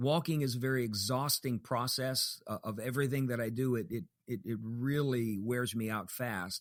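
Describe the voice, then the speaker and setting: A man speaks at a moderate pace and medium pitch with ordinary pitch variation, in a plain, everyday voice. The recording is very clean, with a silent background. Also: hardly any pauses. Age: 60s. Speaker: pastor and author. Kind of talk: interview.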